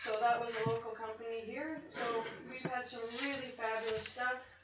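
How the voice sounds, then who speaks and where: Over noticeable background noise and audible room echo, a woman talks in a flat, monotone way at a fairly high pitch. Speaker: charity volunteer organizer. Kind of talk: public address at council meeting. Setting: council chamber. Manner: loud.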